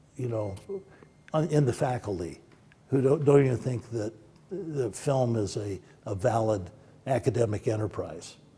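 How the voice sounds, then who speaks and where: Lively intonation runs through a man's medium-pitched voice. His tone is dark and mellow, and somewhat breathy. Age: 70s. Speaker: film producer and professor. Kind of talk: interview.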